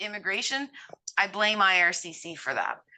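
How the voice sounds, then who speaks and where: In a bright, sharp tone, the voice moves at a fairly slow pace with ordinary pitch variation. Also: woman. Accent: Cape Breton. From Cape Breton, Nova Scotia, Canada. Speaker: immigration consultant. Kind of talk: interview conversation. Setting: podcast.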